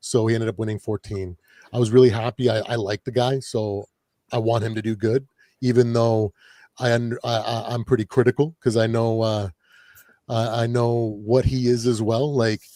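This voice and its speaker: In a dark, mellow tone with an American accent, a man of medium pitch speaks at a moderate pace with monotone, flat intonation, on a very clean recording with a silent background and a dry, close sound with no echo. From Canada, Ontario near Detroit. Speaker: sports fan commentator. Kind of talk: casual chat. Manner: halting.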